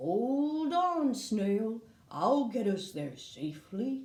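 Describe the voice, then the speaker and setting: A put-on character voice, fairly high in pitch, swings very widely up and down at a very slow pace, with audible echo around it. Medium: read story.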